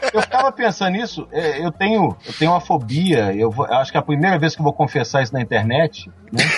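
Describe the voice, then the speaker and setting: A man speaks at a fairly high pitch, with very wide swings up and down. He barely pauses, and noticeable background noise is present. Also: fairly quick pace. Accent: Minas Gerais. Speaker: police investigator. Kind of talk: casual chat.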